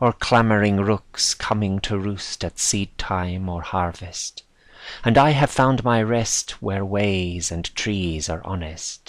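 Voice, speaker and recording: Very slow speech comes from a man with a fairly low pitch and ordinary pitch variation. The recording is very clean, with a silent background. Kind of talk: poetry reading.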